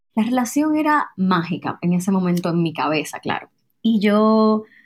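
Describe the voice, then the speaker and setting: In a very clean recording with a silent background, a woman with a fairly high pitch and a somewhat breathy voice speaks at a fairly slow pace. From Dominican Republic. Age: 20s. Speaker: traveler and storyteller. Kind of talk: personal testimony.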